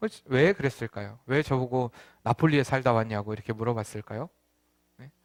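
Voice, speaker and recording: Lively, fairly quick speech from a man at a medium pitch, with big swings in loudness and long, frequent pauses, dry and close with no echo, on a very clean recording with a silent background. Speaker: pastor. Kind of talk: sermon.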